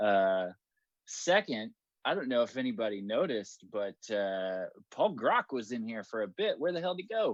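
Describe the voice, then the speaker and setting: Against a quiet background, a man speaks loudly at a medium pitch with very wide pitch swings, the sound dry and close with no echo. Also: moderate pace. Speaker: meetup co-organizer. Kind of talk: casual chat. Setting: video call.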